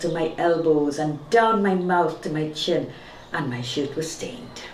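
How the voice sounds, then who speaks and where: A woman speaks at a fairly slow pace with ordinary pitch variation. Noticeable background noise runs underneath. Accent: Trinidadian. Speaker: storyteller. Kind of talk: audiobook-style short story reading.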